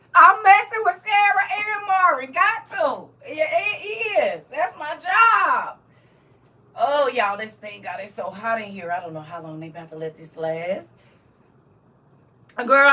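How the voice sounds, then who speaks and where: A woman speaks at a fairly slow pace with long, frequent pauses and big swings in loudness. Noticeable background noise sits behind her. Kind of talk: casual, Southern US dialect ("y'all"). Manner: playful, teasing.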